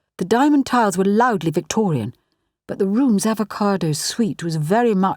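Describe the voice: Quiet background behind plain reading aloud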